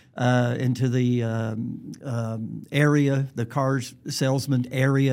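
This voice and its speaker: A man speaks with a Southern US accent. The recording is very clean, with a silent background. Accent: Southern US, noticeable. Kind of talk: casual interview chat.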